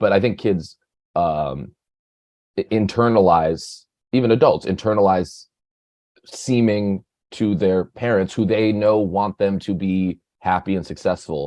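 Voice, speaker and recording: In an American accent, a man speaks at a fairly slow pace with long, frequent pauses, his fairly low, dark and mellow voice showing ordinary pitch variation over a quiet background. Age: 20s. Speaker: podcast guest. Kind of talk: casual chat.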